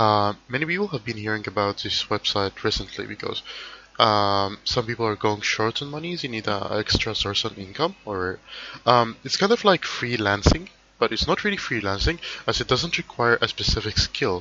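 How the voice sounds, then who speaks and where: This man talks at a moderate pace with lively intonation. His pitch sits at a medium level. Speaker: online tutorial maker. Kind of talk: tutorial. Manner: hesitant, many fillers.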